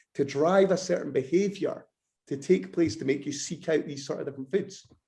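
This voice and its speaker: At a fairly quick pace, a man with a Scottish accent speaks in a fairly high pitch, his dark, mellow tone touched by vocal fry. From Scotland. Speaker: bodybuilder and nutrition lecturer. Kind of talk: podcast interview.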